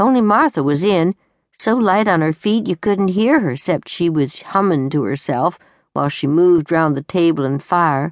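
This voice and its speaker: A plain, everyday voice, a woman pitched fairly low, with lively intonation and a dry, close sound with no echo. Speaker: audiobook narrator. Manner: gruff, weary and rueful, with a slow, dry, homespun drawl.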